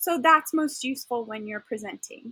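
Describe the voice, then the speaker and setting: Lively intonation runs through a woman's speech. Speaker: teacher trainer. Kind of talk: tutorial. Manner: halting. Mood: enthusiastic. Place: home room.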